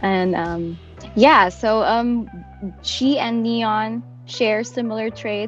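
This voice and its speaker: Music plays in the background. Over it, a woman talks with ordinary pitch variation. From Philippines. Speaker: voice actor. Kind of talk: interview answer.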